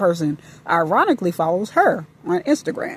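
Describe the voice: A woman's fairly low voice carries a slightly husky edge and a slightly mellow tone.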